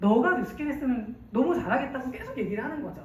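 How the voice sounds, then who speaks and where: A woman's high, animated voice at a very fast clip, with audible room echo and noticeable background noise. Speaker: network marketing speaker. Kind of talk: business presentation.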